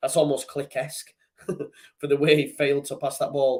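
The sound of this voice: A man talks at a moderate pace with ordinary pitch variation and a slightly mellow tone. Some room echo is audible.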